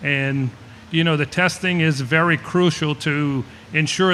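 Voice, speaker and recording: Against noticeable background noise, a man with a fairly high pitch talks at a moderate pace and with fairly even intonation. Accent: South Louisiana. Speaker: shrimper and seafood business owner. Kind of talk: panel discussion. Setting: festival panel with audience.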